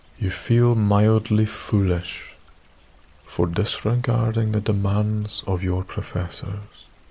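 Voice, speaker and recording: Over noticeable background noise, a man with a soothing, gentle tone speaks very slowly in a fairly low, monotone, flat voice. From Isle of Skye, Scotland. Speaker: sleep story narrator. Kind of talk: bedtime story, scripted sleep story narration in second person. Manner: soft-spoken, slow, soothing and gentle, hushed ASMR-style whisper-like delivery.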